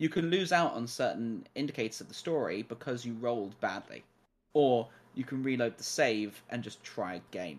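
A man speaks at a moderate pace in a plain, everyday voice, his pitch medium with lively intonation. His loudness swings widely on a very clean recording with a silent background. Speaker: returning gaming podcast guest. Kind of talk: casual chat.

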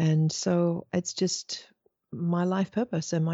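A woman speaks with a slight English accent. Her pitch sits fairly low. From Australia. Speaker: spiritual teacher. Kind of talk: interview. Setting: video call.

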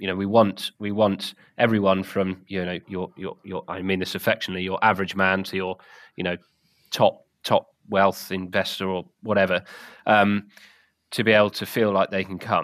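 Speaking with a southern English accent at a moderate pace, a man uses a fairly low, flat, monotone voice, recorded dry and close with no echo on a very clean recording with a silent background. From southern England. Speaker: game bird rearing and shoot manager. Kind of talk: casual interview. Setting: podcast recording.

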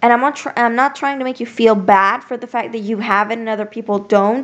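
A woman speaks in a plain, everyday voice. Her pitch is fairly high, with ordinary pitch variation. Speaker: podcast host. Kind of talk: pep talk. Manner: warm, encouraging, directly addressing listener as 'sweetie' and 'besties'; casual, heartfelt, conversational.

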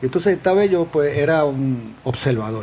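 A man is speaking. His pace is fairly slow. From Puerto Rico, Adjuntas. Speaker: environmental activist, community organization founder. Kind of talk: interview. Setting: in person at the guest's organization.

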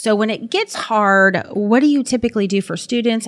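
Ordinary pitch variation runs through a woman's speech at a fairly quick pace. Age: 40s. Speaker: school district instructional technology director, podcast host. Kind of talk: casual interview. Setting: at an elementary school. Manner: animated.

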